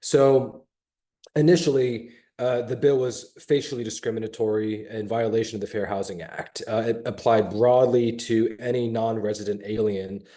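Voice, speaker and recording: The man's voice is dark and mellow in tone, at a medium pitch. He speaks at a moderate pace with fairly even intonation. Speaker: state legislator. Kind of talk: panel discussion. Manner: halting, many fillers.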